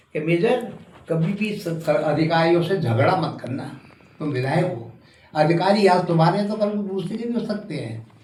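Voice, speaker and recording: Noticeable background noise surrounds a man as he talks. Audible room echo colors his speech. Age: 80s+. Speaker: retired army officer and former legislator. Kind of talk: interview.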